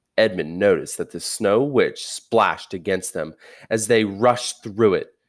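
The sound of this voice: Someone reads in an unforced voice.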